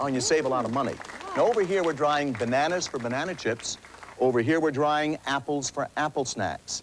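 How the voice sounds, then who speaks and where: Over noticeable background noise, a man speaks fairly quickly at a fairly high pitch, in an enthusiastic tone with ordinary pitch variation. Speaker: inventor and pitchman. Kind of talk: TV infomercial sales pitch. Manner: enthusiastic, persuasive.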